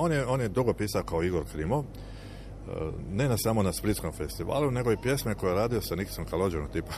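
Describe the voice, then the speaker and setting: A man's fairly quick speech, lively in intonation and edged with vocal fry. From Croatia, Dalmatia (Šibenik). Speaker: lyricist and shipbuilding engineer. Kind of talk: interview. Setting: outdoors on a town square.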